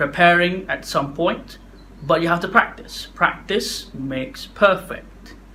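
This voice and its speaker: At a very slow pace, a man speaks with a high pitch and ordinary pitch variation. Audible room echo surrounds his voice. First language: not English. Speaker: public speaking vlogger. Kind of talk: casual talk to camera. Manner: halting, stuttery.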